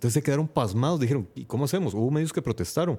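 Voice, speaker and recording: A man talks with a dark, mellow tone. His intonation is lively. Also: very clean recording, silent background. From El Salvador. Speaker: podcaster. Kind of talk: casual chat. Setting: live stream.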